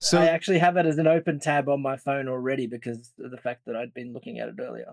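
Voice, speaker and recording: Speaking at a very fast pace with an Australian accent, a man uses a fairly high pitch, ordinary pitch variation, and big swings in loudness, in a dry, close sound with no echo. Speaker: podcast guest, podcast host.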